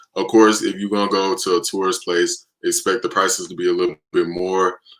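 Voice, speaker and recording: A man with an American accent, at a fairly quick pace. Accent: American, urban youth. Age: 20s. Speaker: livestreamer. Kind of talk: casual chat. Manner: halting.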